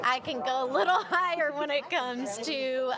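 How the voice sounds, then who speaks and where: A woman speaks fairly slowly at a high pitch. Noticeable background noise and audible room echo fill the recording. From Kentucky, Owensboro. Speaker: TV host. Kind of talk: casual chat.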